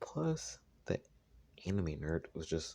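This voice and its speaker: The tone is dark and mellow. There is some breathiness to it. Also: man. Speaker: gaming lore youtuber. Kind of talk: casual video commentary. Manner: halting. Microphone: recorded on phone.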